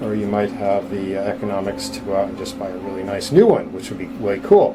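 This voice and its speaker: A man talks at a very fast pace with big swings in loudness. Audible room echo and noticeable background noise surround the voice. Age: 60s. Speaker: dentist demonstrating endodontic technique. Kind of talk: tutorial. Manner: casual, with frequent filler words.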